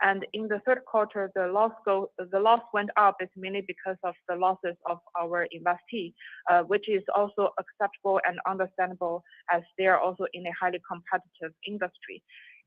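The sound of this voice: A woman at medium pitch, fairly quick pace and little pitch movement, in a dry, close sound with no echo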